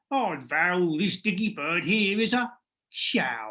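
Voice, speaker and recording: A put-on character voice with a croaky edge. Its pitch swings very widely. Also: woman. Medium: read story. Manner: croaking.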